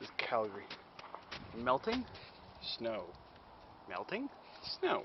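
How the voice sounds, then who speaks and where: A man talks at a fairly slow pace with long, frequent pauses over noticeable background noise. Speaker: hobby mechanic vlogger. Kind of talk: casual vlog while repairing engine. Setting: outdoors in cold winter. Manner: casual, mumbling to himself.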